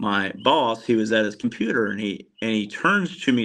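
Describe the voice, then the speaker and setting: Against a quiet background, a man with medium pitch talks at a moderate pace in a normal speaking voice. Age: 40s. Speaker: insurance agent and coach. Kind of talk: interview storytelling.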